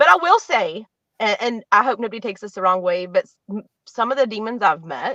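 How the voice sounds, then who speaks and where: This woman speaks with an American accent and a fairly high pitch. Her intonation is lively. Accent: West Virginia accent, comes out sometimes. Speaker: psychic medium. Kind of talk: casual interview chat. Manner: casual, lots of filler words.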